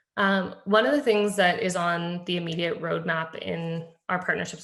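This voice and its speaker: The speech runs at a fairly quick pace with vocal fry. Its intonation stays fairly even. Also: woman. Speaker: public health technology presenter. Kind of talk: webinar presentation. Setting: virtual meeting. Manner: fast.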